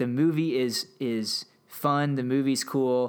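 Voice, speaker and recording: On a very clean recording with a silent background, a man speaks at a medium pitch. His is an ordinary speaking voice with ordinary pitch variation. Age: 30s. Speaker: history podcast host. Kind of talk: solo commentary monologue. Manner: casual with frequent fillers.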